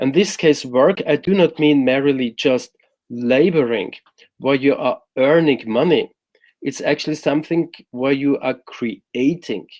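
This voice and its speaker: With a German accent, a man talks at a fairly high pitch with ordinary pitch variation. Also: fairly slow pace. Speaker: happiness coach. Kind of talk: interview explanation.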